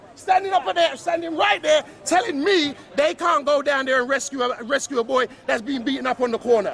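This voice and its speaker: A loud, animated man's voice at an extremely high pitch, over noticeable background noise. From London (Battersea), of West Indian descent. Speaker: PE teacher speaking as a local resident. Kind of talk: heated street argument. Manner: animated, repetitive.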